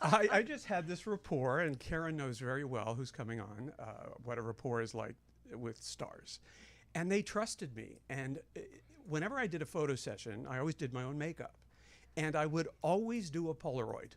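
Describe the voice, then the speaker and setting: With an American accent, the speaker moves at a moderate pace. The pitch swings very widely. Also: man, fairly high pitch for a man. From Los Angeles. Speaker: makeup artist and beauty author. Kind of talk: casual chat.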